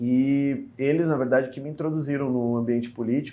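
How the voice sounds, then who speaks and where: At a moderate pace, a man talks at medium pitch with a dark, mellow tone. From Brazil, Porto Alegre (Rio Grande do Sul). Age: 30s. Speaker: state politician. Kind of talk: interview.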